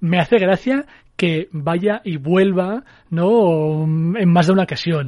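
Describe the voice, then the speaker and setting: Over a quiet background, a man speaks very slowly in a high pitch with ordinary pitch variation. His tone is dark and mellow. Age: 30s. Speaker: film critic. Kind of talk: casual film discussion.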